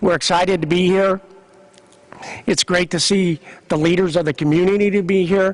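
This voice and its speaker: With a Midwestern American accent, a man speaks at a moderate pace and a high pitch, his intonation fairly even. The sound is dry and close with no echo, and noticeable background noise is present. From Kansas. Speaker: sports organization executive. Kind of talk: press conference speech. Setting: convention center news conference.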